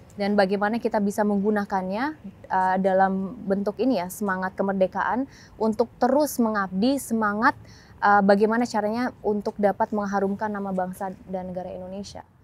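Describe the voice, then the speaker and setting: Fairly quick and with fairly even intonation, a woman speaks. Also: dry sound with no echo. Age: 20s. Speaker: member of parliament; interviewee. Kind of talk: TV talk show interview. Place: stadium. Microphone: lapel.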